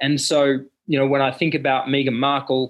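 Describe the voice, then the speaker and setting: Here a man talks with an Australian accent at a moderate pace. His pitch is fairly high. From Australia, rural central Queensland. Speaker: fashion brand founder and CEO. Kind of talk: interview.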